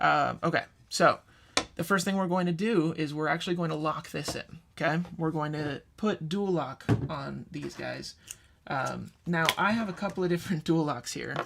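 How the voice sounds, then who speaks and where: Noticeable background noise sits under a man with a fairly high voice. He keeps a moderate pace and fairly even intonation. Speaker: guitarist building a pedalboard. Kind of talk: live stream tutorial. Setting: live stream.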